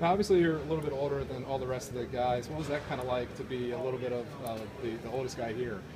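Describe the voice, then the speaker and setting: Over noticeable background noise, a man speaks very fast. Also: ordinary pitch variation. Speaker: sports blogger interviewer. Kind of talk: interview. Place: hall. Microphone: phone near.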